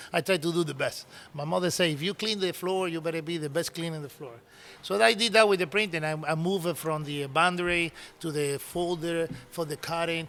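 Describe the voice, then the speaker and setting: Delivered at a fairly quick pace with a Cuban accent, the voice has a bright, sharp tone and ordinary pitch variation. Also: man, high pitch for a man. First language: Spanish. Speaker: cigar maker and business owner. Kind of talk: interview storytelling. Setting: in-person sit-down interview.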